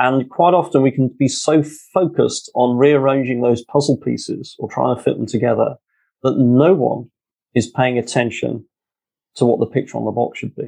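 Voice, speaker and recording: This man speaks in a London accent with a dark, mellow tone. His voice has vocal fry and ordinary pitch variation. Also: medium pitch for a man, moderate pace. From London, England. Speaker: author and leadership speaker, former pilot. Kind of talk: interview conversation, storytelling.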